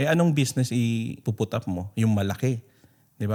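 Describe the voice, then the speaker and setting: In a very clean recording with a silent background, a man speaks at a moderate pace in a medium-pitched, dark, mellow tone with ordinary pitch variation. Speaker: podcast host and business coach. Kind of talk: interview and business advice talk.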